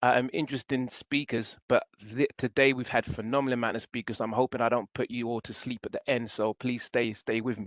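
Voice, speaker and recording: A man with a London accent talks at a fairly quick pace, with hardly any pauses, in a monotone, flat intonation and a dry, close sound with no echo. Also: medium pitch for a man. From England (East London). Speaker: city government staff, presenter. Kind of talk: guest lecture. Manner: fast.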